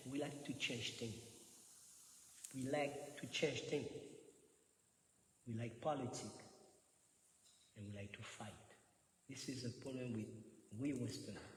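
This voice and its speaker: A man with a medium pitch and a somewhat breathy voice is heard with audible room echo. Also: moderate pace. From France. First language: French. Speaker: Hare Krishna preacher. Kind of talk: religious lecture. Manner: animated, laughing a lot; repetitive, halting.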